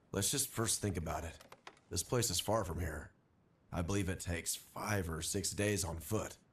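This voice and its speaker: The put-on character voice is raspy and stern, delivered at a moderate pace. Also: man, very deep, low pitch for a man. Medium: video game. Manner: measured, stern.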